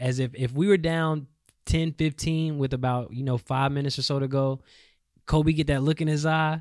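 A plain, everyday voice with an American accent and fairly even intonation in a very clean recording with a silent background. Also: man. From North Carolina. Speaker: sports podcast co-host. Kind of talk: casual sports chat. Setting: studio.

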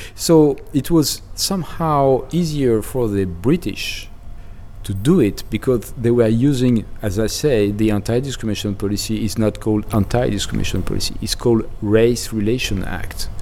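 A man speaks with a French accent at a moderate pace and medium pitch. His intonation is lively, and there is noticeable background noise. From France. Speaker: demographer. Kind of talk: interview. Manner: halting.

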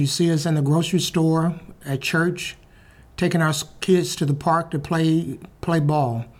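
In an Alabama accent, a man talks at a moderate pace with a high pitch, fairly even intonation and very even loudness. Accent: Southern US (Alabama). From US South, Birmingham, Alabama. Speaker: public speaker, retired news cameraman. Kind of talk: storytelling talk and interview booth answers.

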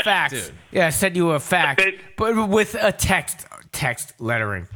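With a Boston accent, a man speaks at a very slow pace in a high pitch. His pitch swings very widely, and music plays in the background. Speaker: podcast co-host. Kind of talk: casual, joking banter.

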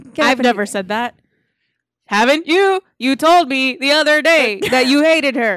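A put-on, robotic character voice sounds female and sits high in pitch for a woman, moving at a moderate pace. The recording is very clean, with a silent background. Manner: robotic, mechanical.

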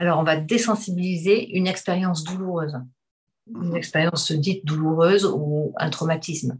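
Her voice is fairly low for a woman, with ordinary pitch variation and a moderate pace. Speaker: hypnotherapist. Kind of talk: casual chat.

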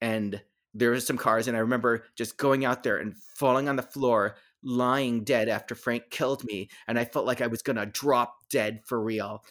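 With an American accent and an ordinary speaking voice, a man talks at a moderate pace and medium pitch with fairly even intonation, in a very clean recording with a silent background. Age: 50s. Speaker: shadow cast performer. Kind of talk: casual interview.

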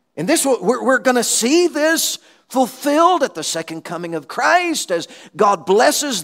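A man with an extremely high pitch, very wide pitch swings and a Southern US accent, against noticeable background noise. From Alabama, US South. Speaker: missionary preacher. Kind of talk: sermon. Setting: church conference.

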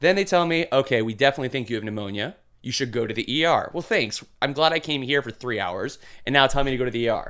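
A man with an American accent talks at a very fast pace and a fairly high pitch. His intonation is lively, and the background is quiet. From Milwaukee, Wisconsin. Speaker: cancer patient sharing his story. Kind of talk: casual interview. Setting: studio.

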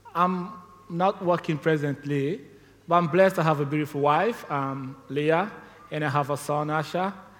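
Over noticeable background noise, a man of fairly high pitch talks at a moderate pace with ordinary pitch variation. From Sierra Leone. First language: not English. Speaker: missionary. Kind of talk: testimony. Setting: church.

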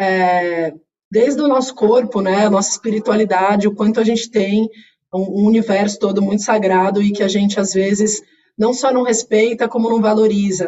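With an unremarkable speaking voice, a woman of medium pitch talks at a moderate pace, with very even loudness and fairly even intonation. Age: 40s. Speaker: corporate executive. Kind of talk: interview. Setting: video call.

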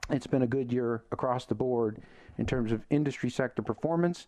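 A man's plain, everyday voice at a moderate pace, with fairly even intonation. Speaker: radio host. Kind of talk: radio host patter. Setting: radio studio. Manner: punchy, confident broadcaster; direct, opinionated.

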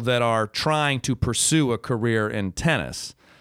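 A man has an ordinary speaking voice at a medium pitch with an American accent and ordinary pitch variation. The very clean recording has a silent background and a dry, close sound with no echo. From Michigan, US. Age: 30s. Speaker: former pro tennis player and comedian. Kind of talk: casual chat.

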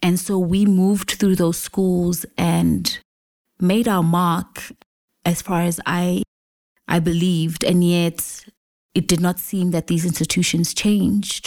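A woman speaks very slowly at a fairly low pitch, in a monotone, flat intonation with very even loudness. The recording is very clean, with a silent background. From South Africa. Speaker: journalist. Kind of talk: lecture.

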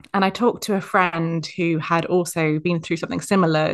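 Against a quiet background, a woman with an unremarkable speaking voice talks at a fairly quick pace, her fairly low pitch showing ordinary pitch variation. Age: 30s. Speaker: content writer. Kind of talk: casual chat.

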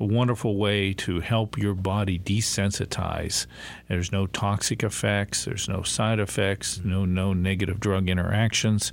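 On a very clean recording with a silent background, a man with an American accent speaks at a moderate pace in a fairly low pitch with monotone, flat intonation. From US Northeast or Great Lakes. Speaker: chiropractor and naturopath. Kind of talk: radio interview. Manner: halting.

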